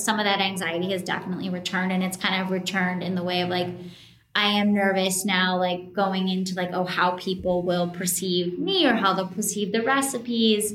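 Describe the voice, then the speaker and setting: In an American accent, a woman speaks at a moderate pace in a medium pitch. Her intonation is fairly even, and the room echo is audible. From US, Colorado. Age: 20s. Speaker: food blogger. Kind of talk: casual chat. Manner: casual, many fillers.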